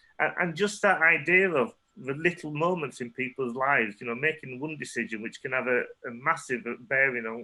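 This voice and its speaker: A man's medium-pitched voice with a Yorkshire accent, a moderate pace and ordinary pitch variation. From northern England, Leeds. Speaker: photographer. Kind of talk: artist talk Q&A. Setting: online talk.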